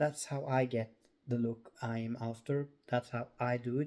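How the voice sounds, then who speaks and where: This man has a medium-pitched voice with a dark, mellow tone. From Norway. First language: Norwegian. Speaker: crochet crafter. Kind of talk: tutorial. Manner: halting.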